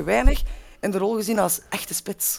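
A woman speaks at medium pitch with vocal fry. Her pace is moderate. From Belgium, Lier (Antwerp province). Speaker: football supporter pundit. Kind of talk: casual chat.

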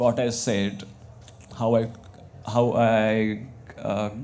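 A man with an Indian accent, very slow pace and fairly even intonation. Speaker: visual artist and community organiser. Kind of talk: panel discussion. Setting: stage with audience. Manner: halting.

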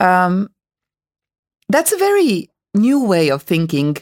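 A woman with a Hungarian accent in a very clean recording with a silent background and a dry, close sound with no echo. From Hungary. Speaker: podcast host. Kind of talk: interview. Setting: studio. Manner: hesitant, many fillers.

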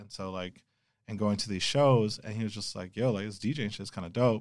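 Speaking at a moderate pace, a man with an American accent uses a fairly low pitch and fairly even intonation. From Los Angeles, California. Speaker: DJ and sneaker store owner. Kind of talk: casual interview chat. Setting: remote offsite room.

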